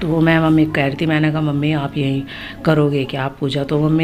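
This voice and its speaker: Noticeable background noise sits behind a woman's very deep, low voice. She keeps a monotone, flat intonation at a moderate pace. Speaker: family vlogger. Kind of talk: vlog narration. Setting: at home during puja. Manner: casual, chatty.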